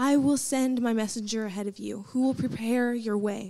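A woman's dark, mellow tone at a moderate pace, with fairly even intonation. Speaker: student scripture reader. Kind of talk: scripture reading. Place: stage. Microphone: handheld.

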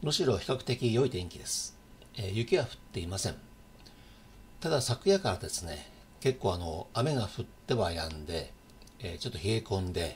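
A man with a fairly low pitch talks at a moderate pace, sounding somewhat breathy. Light background noise can be heard. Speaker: local channel host. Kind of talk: casual news vlog chat. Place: home room. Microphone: webcam.

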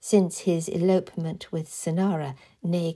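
A somewhat breathy, dark, mellow woman's voice, fairly low in pitch, at a fairly slow pace on a very clean recording with a silent background. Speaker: author reading own novel. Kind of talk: audiobook reading.

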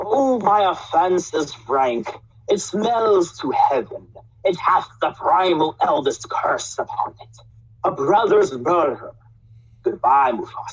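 A put-on character voice at a fairly high pitch and a fairly slow pace. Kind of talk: villain monologue. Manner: sinister, gloating.

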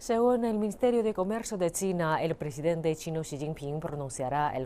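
With lively intonation, a woman speaks at a moderate pace in a very deep, low pitch. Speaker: news anchor. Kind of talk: news reading.

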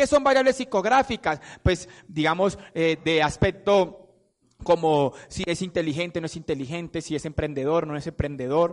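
A man's high-pitched, animated voice with lively intonation at a moderate pace. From Colombia, Palmira, Valle del Cauca. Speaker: motivational speaker for a network marketing business. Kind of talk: motivational talk to an audience.

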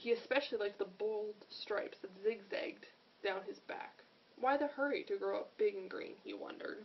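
The recording features an unforced reading voice.

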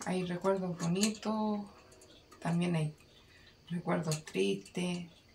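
Speech comes at a very slow pace, monotone and flat, broken by long, frequent pauses. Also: woman, fairly low pitch for a woman. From Chile, O'Higgins region (rural town). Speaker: parent of the filmmaker. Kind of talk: interview.

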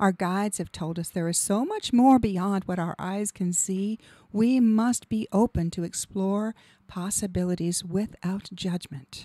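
Against a quiet background, a woman speaks at a fairly slow pace in a dark, mellow tone with ordinary pitch variation. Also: dry sound with no echo. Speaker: radio show host and hypnotherapist; radio show host. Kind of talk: scripted monologue. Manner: polished, rehearsed. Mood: calm, warm, inspirational. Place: studio. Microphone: studio mic.

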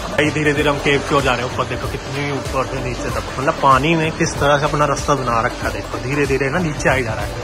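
Over clear background music, a man talks at a fairly quick pace with hardly any pauses. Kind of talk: casual vlog chat. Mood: amazed, relaxed. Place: tunnel cave. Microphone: phone near.

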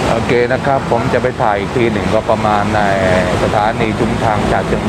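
Loud background noise surrounds a man's voice, which has a dry sound with no echo. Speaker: travel vlogger. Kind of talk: casual vlog chat. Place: train. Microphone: phone near.

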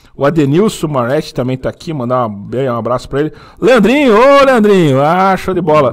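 Here a man with a fairly high pitch talks at a fairly quick pace, his pitch swinging very widely. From Francisco Beltrão, Paraná, southern Brazil; Paraná. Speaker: motovlog channel host; podcast host. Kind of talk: casual live chat. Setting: studio. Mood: jovial, laughing. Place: studio. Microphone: studio mic.

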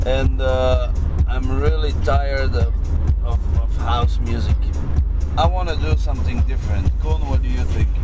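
The pace is moderate. Behind the speech, music plays loudly. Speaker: dj on tour. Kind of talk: casual vlog chat. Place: car. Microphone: camera far.

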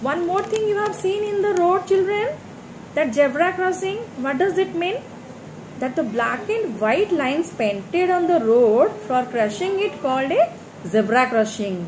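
A woman's high-pitched voice at a fairly slow pace, over noticeable background noise. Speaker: primary school teacher. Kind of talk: lecture. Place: home room. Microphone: phone near.

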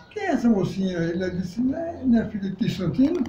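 Light background noise and audible room echo surround a man talking at a fairly quick pace. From Northeast Brazil, Pernambuco countryside. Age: 80s+. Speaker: elderly local resident; interviewee. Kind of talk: interview. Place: home room.

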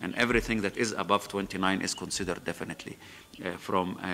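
The speaker talks at a very fast pace with an Arabic accent. Intonation stays fairly even, with light background noise. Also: man. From Egypt. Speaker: former government minister. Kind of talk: conference panel talk. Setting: stage with audience. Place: hall. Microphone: podium.

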